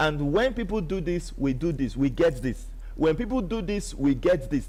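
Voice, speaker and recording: With an animated tone and lively intonation, a man with a Nigerian accent speaks at a moderate pace and a high pitch. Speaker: online business promoter. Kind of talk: live stream sales pitch.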